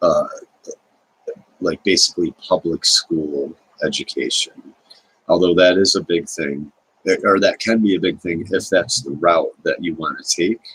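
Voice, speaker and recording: A soft-spoken man at a fairly slow pace with long, frequent pauses, in a dry, close recording with no echo. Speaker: video blogger. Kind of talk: casual monologue. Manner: halting.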